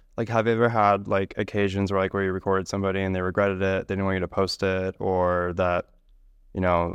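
Against a quiet background, a man talks at a very fast pace in a very deep, low voice. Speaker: podcast host. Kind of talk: casual interview. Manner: sassy, animated.

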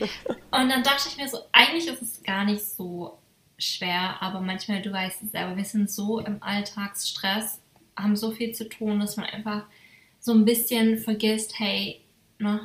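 The speech is fairly slow, with fairly even intonation and big swings in loudness. Noticeable background noise runs underneath. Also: woman. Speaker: podcast host. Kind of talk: casual chat.

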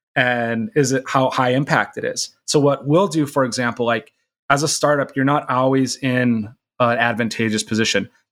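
A man with an American accent speaks at a moderate pace in a normal speaking voice of medium pitch, with ordinary pitch variation. The recording is very clean, with a silent background. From US Midwest, Minnesota. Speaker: startup CEO. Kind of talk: casual interview chat.

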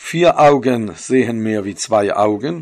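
At a very slow pace, a man with a Swiss accent speaks with ordinary pitch variation. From Switzerland. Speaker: religious storyteller. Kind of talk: storytelling. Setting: home recording.

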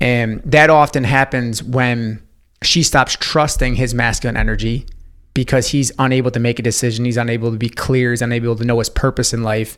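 A man with an American accent talks at a fairly quick pace. His medium-pitched voice has monotone, flat intonation. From upstate New York. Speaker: intuitive life coach. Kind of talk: podcast interview. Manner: casual, many fillers.

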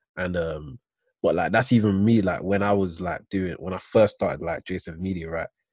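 A man speaks with a British accent at a moderate pace. His very deep, low voice keeps fairly even intonation. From UK. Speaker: podcast host. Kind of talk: casual chat. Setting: video call.

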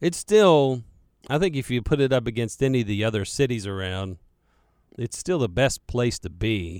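Medium-pitched male voice with a Carolina accent, lively intonation and moderate pace, in a very clean recording with a silent background. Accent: Southern US, Carolina. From Charlotte, North Carolina. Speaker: radio host. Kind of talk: casual radio talk, answering listener questions. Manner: rambling, casual, many filler words.

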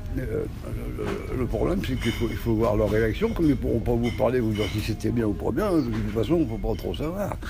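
Speaking at a fairly quick pace, a man is heard through audible room echo and noticeable background noise. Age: old. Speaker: retired civil servant. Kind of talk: street interview. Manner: halting.

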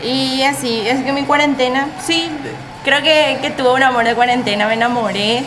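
Over music in the background and audible room echo, a speaker with a Paraguayan accent talks at a moderate pace with fairly even intonation. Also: woman, high pitch for a woman. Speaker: podcast co-host, accounting student. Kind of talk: casual chat.

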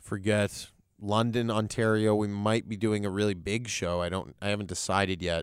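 A man with an ordinary speaking voice and a Canadian accent talks at a moderate pace with a fairly low pitch and fairly even intonation. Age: 30s. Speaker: comedian. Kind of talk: casual chat. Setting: studio.

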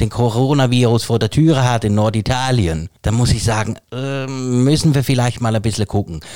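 Delivered at a moderate pace, this is an ordinary speaking voice with a dry, close sound and no echo. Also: man. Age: 40s. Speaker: podcast co-host. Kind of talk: casual chat.

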